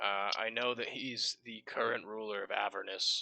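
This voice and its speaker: In a put-on character voice, a man talks at a moderate pace, raspy and at a medium pitch. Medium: actual play. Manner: casual, offhand.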